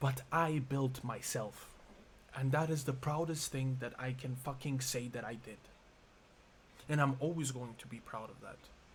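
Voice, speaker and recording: Amid audible room echo, a man with a somewhat breathy voice of medium pitch speaks at a moderate pace, with long, frequent pauses and big swings in loudness. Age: 20s. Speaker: vlogger. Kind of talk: emotional monologue vlog. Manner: halting.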